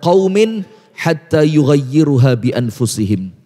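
A man speaks against a quiet background. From Batu, Malang, East Java. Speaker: Islamic preacher. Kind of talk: religious lecture. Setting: mosque with live audience, broadcast on TV and radio. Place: church. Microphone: handheld.

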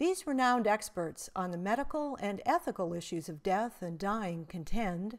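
With lively intonation and a plain, everyday voice, a woman speaks at a medium pitch and a moderate pace on a very clean recording with a silent background. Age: 60s. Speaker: essayist presenting her own writing. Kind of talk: reading aloud.

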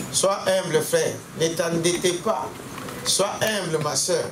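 Over clear background noise, a man speaks at a fairly high pitch.

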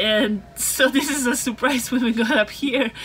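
A woman at a moderate pace, with ordinary pitch variation and light background noise. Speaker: travel vlogger. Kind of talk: casual vlog chat. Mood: cheerful, amused. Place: car. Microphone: phone near.

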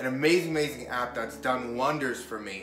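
Clear music plays in the background. Over it, a man speaks at a moderate pace with ordinary pitch variation. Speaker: motivational vlogger. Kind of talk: casual vlog chat. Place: home room. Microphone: camera far.

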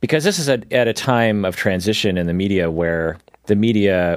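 A man with an American accent and a normal speaking voice talks at a fairly slow pace and fairly low pitch, with ordinary pitch variation, in a very clean recording with a silent background. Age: 40s. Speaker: psychologist podcast host. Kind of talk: casual chat.

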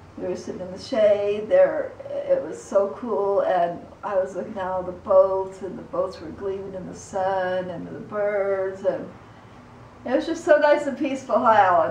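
With audible room echo and light background noise, a woman speaks at a moderate pace, showing ordinary pitch variation and big swings in loudness. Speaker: vlogger. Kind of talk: casual vlog chat. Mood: calm, relaxed. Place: home room.

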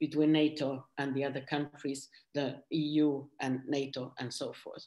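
A woman is speaking. The background is quiet. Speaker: former member of European Parliament. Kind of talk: panel presentation. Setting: video call.

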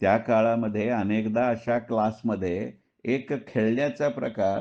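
A man speaks at a medium pitch in a dark, mellow tone with fairly even intonation. The background is quiet. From Dombivli, Maharashtra, India. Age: 60s. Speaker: retired stock market professional and writer. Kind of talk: personal monologue audio recording.

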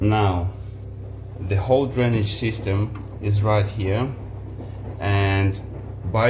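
At a very slow pace and fairly low pitch, a man talks with fairly even intonation and long, frequent pauses. Background noise is clearly audible.

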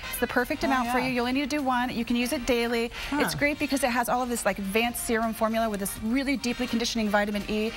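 Over clear background music, a woman speaks very fast at a high pitch. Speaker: guest. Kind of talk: TV interview product presentation. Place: studio. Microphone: lapel.

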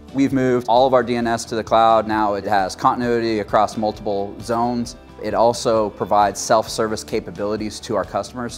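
With faint music in the background, a man talks at a fairly quick pace with fairly even intonation and hardly any pauses. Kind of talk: interview answer. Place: studio. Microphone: lapel.

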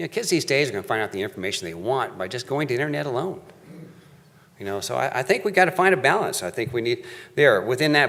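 Very fast delivery with vocal fry and very wide pitch swings. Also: man. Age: 60s. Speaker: public commenter at county meeting. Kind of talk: public comment speech. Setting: county board meeting. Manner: halting.

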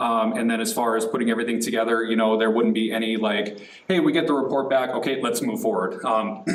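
Here a man talks very fast at a medium pitch with fairly even intonation. There is audible room echo and noticeable background noise. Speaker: city communications staff member. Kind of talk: council presentation. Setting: city council meeting. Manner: halting.

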